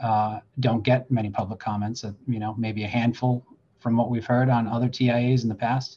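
With an American accent, a man speaks at a medium pitch and moderate pace in a dark, mellow tone. His voice is somewhat breathy, and his intonation is monotone and flat. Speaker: deputy fire chief. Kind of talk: panel discussion. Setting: at work, fire station with radio.

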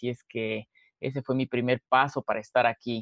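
An unremarkable speaking voice proceeds at a moderate pace with fairly even intonation. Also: man. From Ecuador, Quito. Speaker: entrepreneur. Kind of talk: interview.

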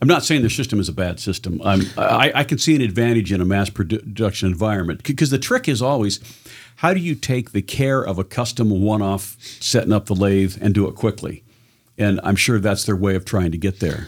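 An ordinary speaking voice from a man with an American accent, fairly low in pitch, fairly quick in pace, with ordinary pitch variation on a very clean recording with a silent background. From Southern Oregon. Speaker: gunsmith and benchrest shooter. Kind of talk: casual chat.

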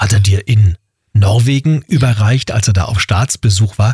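A man's somewhat breathy voice at a fairly slow pace, with ordinary pitch variation and a dry, close sound free of echo. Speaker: radio host. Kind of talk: interview.

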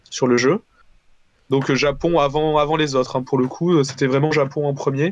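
A man with an unremarkable speaking voice talks at a moderate pace, fairly high-pitched, with fairly even intonation. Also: very even loudness. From southern France, Valence. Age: 20s. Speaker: indie game developer. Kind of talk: casual interview.

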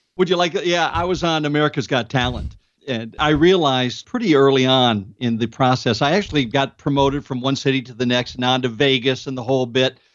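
An ordinary speaking voice moves at a fairly quick pace with hardly any pauses and ordinary pitch variation. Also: man, medium pitch for a man. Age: 60s. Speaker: comedian. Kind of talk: interview.

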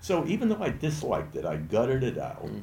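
Through audible room echo, a man's dark, mellow voice carries vocal fry and very wide pitch swings. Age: 80s+. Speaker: retired business owner. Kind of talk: casual interview. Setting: in person at a club.

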